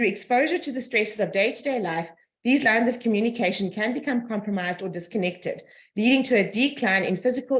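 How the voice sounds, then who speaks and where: Talking at a very fast pace, a woman uses a fairly high pitch with ordinary pitch variation and a somewhat breathy sound. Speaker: energy healing practitioner. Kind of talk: reading aloud; group video call discussion.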